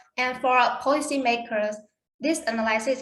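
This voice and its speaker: A woman speaks at a moderate pace amid audible room echo. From Vietnam. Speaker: conference presenter. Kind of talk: Q&A answers; conference presentation. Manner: halting.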